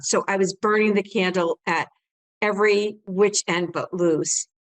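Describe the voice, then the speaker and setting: With a plain, everyday voice at medium pitch and ordinary pitch variation, a woman speaks in a dry, close sound with no echo. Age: 60s. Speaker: home staging business owner and coach. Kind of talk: interview.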